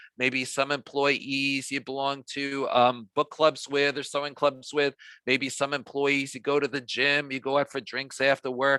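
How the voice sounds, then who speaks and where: A man with a slight New York accent speaks at a fairly slow pace in a fairly high pitch, his bright, sharp tone delivered in a flat monotone, recorded dry and close with no echo over a quiet background. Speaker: diversity trainer. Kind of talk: training workshop.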